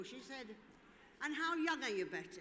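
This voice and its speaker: Over audible room echo, a woman with a high pitch and a bright, sharp tone talks at a very fast pace. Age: 80s+. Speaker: former dancer and event speaker. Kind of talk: speech to audience. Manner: animated.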